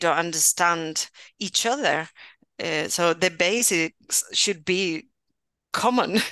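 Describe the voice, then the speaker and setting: A woman with a Spanish accent has a bright, sharp tone at a fairly low pitch with ordinary pitch variation. The sound is dry and close with no echo, over a quiet background. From Spain, Valencia region. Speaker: university professor, bilingual education. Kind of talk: interview conversation.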